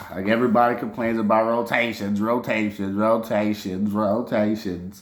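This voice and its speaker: A man speaks with a New Orleans accent. His pitch is fairly low. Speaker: sports podcaster. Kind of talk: casual sports commentary monologue. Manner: animated.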